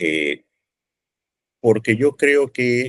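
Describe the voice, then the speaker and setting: A man with a Peruvian accent is heard dry and close, with no echo. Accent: Peruvian Spanish (Lima). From Peru, Lima. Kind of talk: podcast interview.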